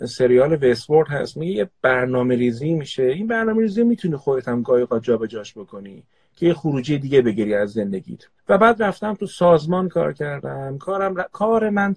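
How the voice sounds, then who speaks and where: A man talks at a fairly quick pace in a fairly high, somewhat breathy voice. His pitch swings very widely, and the sound is dry and close with no echo. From Tehran, Iran. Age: 40s. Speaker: organizational psychoanalyst. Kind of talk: casual live chat.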